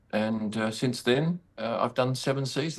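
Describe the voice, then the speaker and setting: Fairly quick male speech in an Australian accent, with lively intonation. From Western Australia, Perth. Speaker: sports photographer. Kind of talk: interview.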